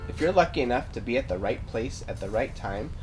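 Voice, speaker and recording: Over music in the background, a man talks at a fairly quick pace. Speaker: science educator. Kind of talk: tutorial. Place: garden.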